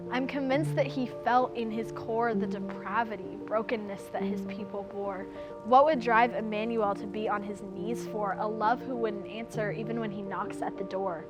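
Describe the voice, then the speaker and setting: Music plays in the background as the speech moves at a moderate pace with hardly any pauses. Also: woman. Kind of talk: spoken word poetry performance.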